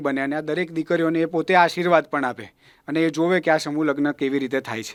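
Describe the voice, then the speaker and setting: A man talks in a monotone, flat intonation. The recording is very clean with a silent background. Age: 20s. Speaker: charitable trust president. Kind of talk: interview. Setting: studio.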